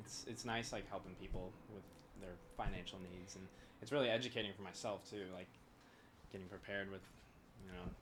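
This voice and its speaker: A man with an American accent, fairly low pitch, very fast pace, fairly even intonation, big swings in loudness, long and frequent pauses, and audible room echo. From Missouri, US Midwest. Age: 20s. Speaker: podcast guest, bank employee. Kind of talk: casual interview chat.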